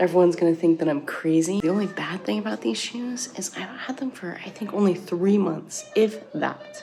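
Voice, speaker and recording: Music plays in the background as a woman of medium pitch speaks with lively intonation. She barely pauses. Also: moderate pace. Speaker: family travel vlogger, army wife and mom. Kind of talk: casual vlog narration.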